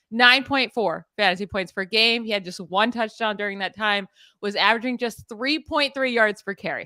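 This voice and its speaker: A woman with an American accent has a bright, sharp tone and ordinary pitch variation. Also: moderate pace, dry, close sound with no echo, very clean recording, silent background. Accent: Pittsburgh accent, noticed by others. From Pittsburgh, US. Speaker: fantasy football analyst. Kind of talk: podcast sports analysis. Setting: live stream.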